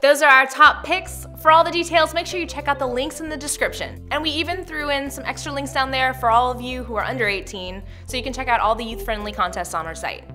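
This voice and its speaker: A woman speaks very fast with hardly any pauses, her loudness swinging widely. Faint music plays in the background. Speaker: web show host. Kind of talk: scripted show hosting. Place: studio.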